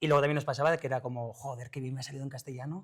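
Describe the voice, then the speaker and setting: A man with a Basque accent speaks at a fairly high pitch with fairly even intonation on a very clean recording with a silent background. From Basque Country. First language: Basque (speaking Spanish). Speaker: actor. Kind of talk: interview. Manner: halting.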